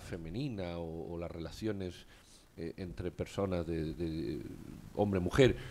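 A man's very deep, low voice at a very slow pace, over light background noise. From Spain. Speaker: radio talk show host. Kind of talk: casual chat. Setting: studio. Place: studio. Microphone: studio mic.

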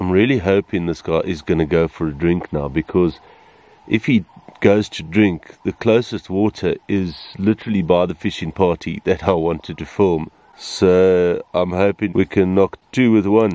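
A man speaks at a moderate pace with a dark, mellow tone and a very deep, low pitch. His pitch varies in an ordinary way, and the sound is dry with no echo. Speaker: safari guide filmmaker. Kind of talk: wildlife commentary. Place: open country. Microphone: phone near.

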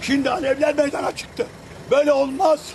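Extremely high pitch from a man, with noticeable background noise. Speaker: local resident. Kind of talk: angry street interview. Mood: angry and desperate. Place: street.

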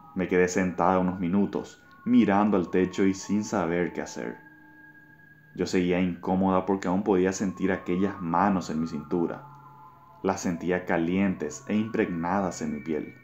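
A man's very deep, low voice at a fairly slow pace, fairly even in intonation, with music in the background. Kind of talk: ghost story telling. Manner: tense, suspenseful.

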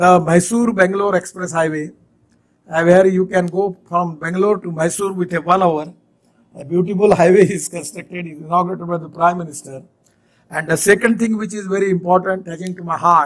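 This man has a high pitch and fairly even intonation. He talks at a fairly quick pace. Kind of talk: public speech. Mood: cheerful, smiling. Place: hall. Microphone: podium.

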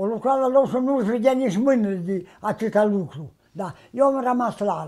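A man speaks at a high pitch with a dark, mellow tone and lively intonation, at a fairly slow pace. His loudness swings widely, over a quiet background. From Romania, Bukovina (Suceava county, rural); Romania. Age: 80s+. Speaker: traditional sheepskin coat maker. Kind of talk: interview, life story. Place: home room.

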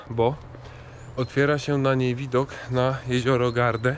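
A man speaks at a fairly slow pace in a flat monotone, with a dry sound that has no echo and light noise in the background. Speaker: hiking vlogger. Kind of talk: casual vlog chat. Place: street. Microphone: phone near.

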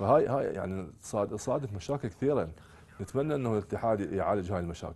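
With an Iraqi accent, a man speaks at a fairly quick pace and fairly low pitch. His tone is dark and mellow, and his intonation is lively. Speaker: youth football coach. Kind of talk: TV sports talk show interview. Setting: studio. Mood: critical, mildly frustrated. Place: studio.

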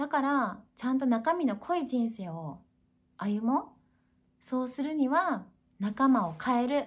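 A high-pitched woman speaks at a fairly slow pace with very wide pitch swings. Long, frequent pauses break up her speech. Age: 40s. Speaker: YouTuber; self-help vlogger. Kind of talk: casual monologue. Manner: animated. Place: home room. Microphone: webcam.

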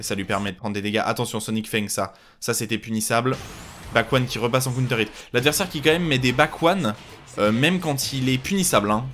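A man races through his words at a very fast pace, and his intonation is lively. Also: medium pitch for a man. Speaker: video game commentator. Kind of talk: live game commentary. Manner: fast, clipped, rapid-fire callouts of moves and mistakes; casual, encouraging.

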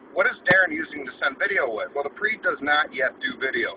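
Talking at a fairly quick pace, a man is heard through noticeable background noise. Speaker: car vlogger. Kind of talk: casual vlog chat. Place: car. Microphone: phone near.

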